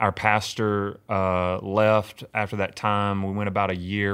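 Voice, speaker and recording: A man with a Mississippi accent speaks fairly slowly in a fairly low, monotone, flat voice. The recording is very clean with a silent background. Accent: Mississippi Southern US. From US South, Mississippi hill country. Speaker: pastor. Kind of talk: casual interview. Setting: room next to his church office.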